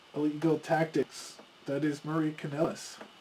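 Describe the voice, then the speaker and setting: Over noticeable background noise, a man talks at a fairly slow pace in a fairly high pitch. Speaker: board game video host. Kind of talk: tabletop game playthrough commentary.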